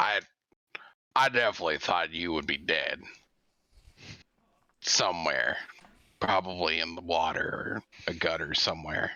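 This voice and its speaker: A man puts on a character voice that is raspy and very deep, with a low pitch. He speaks at a moderate pace with long, frequent pauses. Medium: actual play. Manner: blunt, dry.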